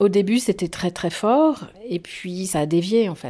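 In a very clean recording with a silent background, a woman speaks at a fairly slow pace. Her tone is dark and mellow, and her intonation is lively. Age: 50s. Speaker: former cult member, anti-cult association president. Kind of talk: testimony. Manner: hesitant with fillers.

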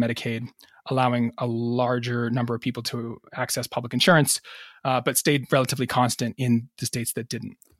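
A man with an American accent speaks in a plain, everyday voice at medium pitch. The recording is very clean, with a silent background. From Massachusetts and New York. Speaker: physician and historian. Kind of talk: interview.

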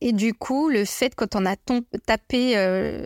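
A woman's very slow speech at a medium pitch with ordinary pitch variation, in a dry, close sound with no echo on a very clean recording with a silent background. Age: 40s. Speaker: patient sharing her health story. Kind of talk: personal testimony interview.

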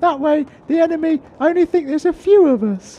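The voice is a put-on character. Its pace is moderate. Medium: comedy sketch. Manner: chatty, rambling, anxious.

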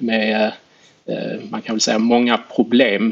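At a fairly slow pace, a man talks at medium pitch over noticeable background noise. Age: 40s. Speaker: equity analyst and investor. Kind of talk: interview.

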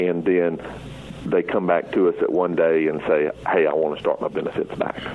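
There is noticeable background noise as a man speaks. He keeps a moderate pace and very even loudness. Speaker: Social Security office district manager. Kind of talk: radio interview answering listener questions. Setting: radio show by phone from remote location.

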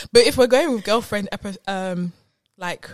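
A woman speaks with an Essex accent. Her pace is fairly quick. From Essex, England. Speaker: podcast co-host. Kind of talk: casual chat.

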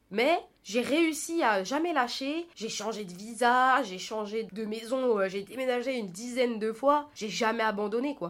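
A woman with an unremarkable speaking voice talks at a fairly high pitch, her intonation lively. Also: very clean recording, silent background. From France, Paris region. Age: 20s. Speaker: podcast host. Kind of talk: solo personal monologue. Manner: casual, chatty.

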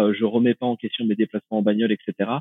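The man's voice has a fairly low pitch. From rural France. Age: 30s. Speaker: renewable energy researcher. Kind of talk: podcast interview. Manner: hesitant, many fillers.

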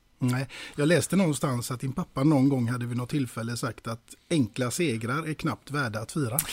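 A somewhat breathy voice at a fairly quick pace, with ordinary pitch variation and a dry, close sound with no echo. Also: man, medium pitch for a man. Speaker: podcast interviewer. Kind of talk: casual interview chat.

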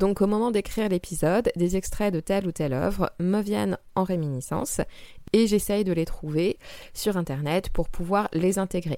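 Her tone is dark and mellow, at a medium pitch with ordinary pitch variation. The woman keeps a moderate pace. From France, Val-de-Marne (Paris area). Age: 20s. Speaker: astrologer and podcast host. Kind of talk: solo podcast Q&A monologue.

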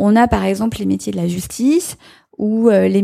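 Moderately paced speech from a woman, very cleanly recorded against a silent background. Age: 40s. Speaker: member of parliament. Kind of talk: live panel discussion. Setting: stage with audience.

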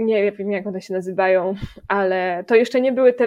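A woman at medium pitch speaks at a moderate pace in an ordinary speaking voice. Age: 20s. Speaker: music education student. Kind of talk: casual chat.

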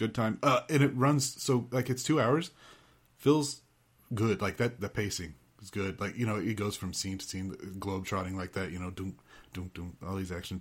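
In a plain, everyday voice, a man talks at a moderate pace and a fairly low pitch on a very clean recording with a silent background. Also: ordinary pitch variation, big swings in loudness. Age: 40s. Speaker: podcaster, film enthusiast. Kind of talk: casual chat.

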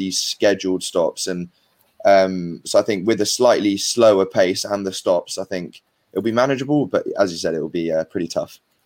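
A man with a fairly low pitch and a plain, everyday voice, on a very clean recording with a silent background. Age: 20s. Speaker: amateur rugby player. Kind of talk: casual chat.

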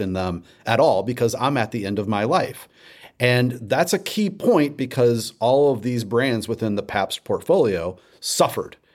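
A man with an American accent has an ordinary speaking voice at medium pitch with lively intonation. He keeps a moderate pace on a very clean recording with a silent background. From St. Louis, Missouri. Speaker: former beer marketer. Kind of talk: interview.

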